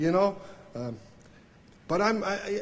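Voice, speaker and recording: Speaking at a moderate pace, a man with a Swiss German accent uses lively intonation. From Switzerland. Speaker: banjo player. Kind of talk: acceptance speech. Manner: halting, many fillers.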